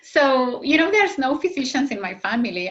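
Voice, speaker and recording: The tone is bright and sharp, with lively intonation. A slight Argentine accent comes through. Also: woman. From Argentina. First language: Spanish. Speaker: fertility doctor. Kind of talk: interview. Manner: halting, many fillers.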